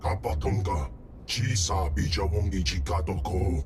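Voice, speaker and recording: A put-on character voice from a man, very deep and low, with clear background noise. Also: moderate pace. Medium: video game. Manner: speaks only alien gibberish language.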